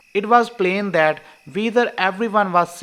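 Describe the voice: Ordinary pitch variation in plain reading aloud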